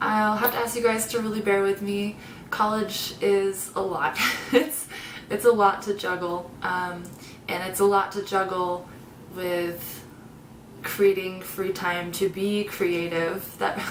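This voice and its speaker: A woman's medium-pitched voice at a very slow pace, with fairly even intonation, amid audible room echo and noticeable background noise. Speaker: video creator. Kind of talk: casual vlog talk. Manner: hesitant, many fillers.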